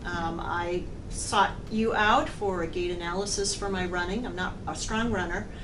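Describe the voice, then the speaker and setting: Through noticeable background noise and audible room echo, a woman speaks at a fairly slow pace. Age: 60s. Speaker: amateur triathlete. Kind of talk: testimony.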